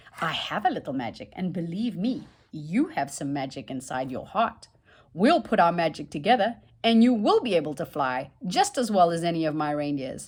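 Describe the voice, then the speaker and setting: A woman performs a booming put-on character voice at a fairly low pitch. Her pitch swings very widely as she keeps a moderate pace. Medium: read story. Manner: gentle, booming.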